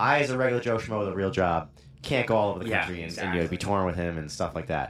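A man's very deep, low voice, very fast and with lively intonation. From Rhode Island. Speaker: band guitarist. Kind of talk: casual chat. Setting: studio.

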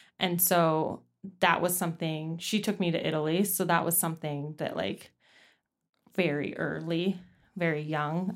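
In a very clean recording with a silent background, a woman speaks at a moderate pace with fairly even intonation. She has a plain, everyday voice, fairly low in pitch. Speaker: podcast co-host, ecologist. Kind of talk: casual chat.

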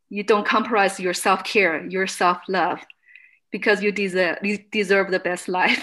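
A woman with a bright, sharp tone and a Chinese accent, in monotone, flat intonation. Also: medium pitch for a woman, moderate pace. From China. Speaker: fitness studio owner. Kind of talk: interview testimony. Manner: halting.

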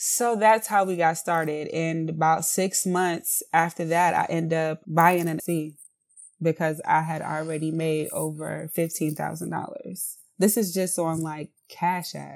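In a very clean recording with a silent background, a woman speaks fairly slowly with an American accent. Her pitch is fairly low and her intonation fairly even. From South Carolina (Columbia). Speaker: candle business owner. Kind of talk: interview.

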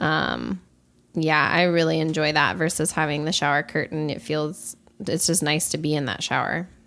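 The woman's pitch is very deep and low, with vocal fry and a bright, sharp tone. Her intonation is fairly even, and the recording is very clean with a silent background. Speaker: podcast co-host. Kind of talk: casual chat. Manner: slow-paced.

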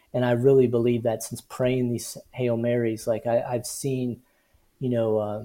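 The voice has a dark, mellow tone and an American accent. It moves at a moderate pace. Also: man. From US Midwest. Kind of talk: interview. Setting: video call. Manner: halting.

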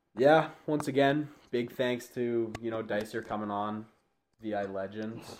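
In a Canadian accent, a man with an unremarkable speaking voice talks at a fairly slow pace, his medium pitch showing ordinary variation. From Campbell River, Vancouver Island, British Columbia. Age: 20s. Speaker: podcast co-host, junior hockey player. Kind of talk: casual chat.

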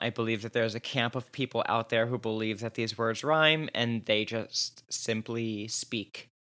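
The recording is very clean with a silent background. A man with a bright, sharp tone and medium pitch speaks at a moderate pace with fairly even intonation. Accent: American. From New Jersey. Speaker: podcast co-host. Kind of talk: casual chat.

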